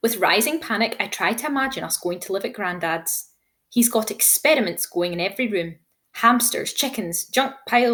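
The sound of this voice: An unforced reading voice moves with lively intonation while the background stays quiet.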